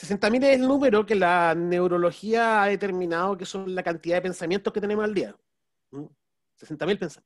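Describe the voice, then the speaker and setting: The man has a high pitch. His pitch varies in an ordinary way. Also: moderate pace, quiet background. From Chile. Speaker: business strategy consultant and speaker; speaker. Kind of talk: webinar talk. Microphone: video call.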